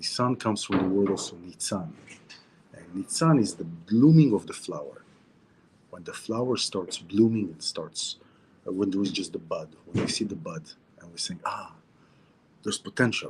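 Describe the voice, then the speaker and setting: Lively intonation from a man with a fairly low pitch, at a moderate pace. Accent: Israeli. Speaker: spiritual teacher. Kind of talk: weekly Torah talk. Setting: outdoors near the sea, video stream. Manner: casual, repetitive and halting.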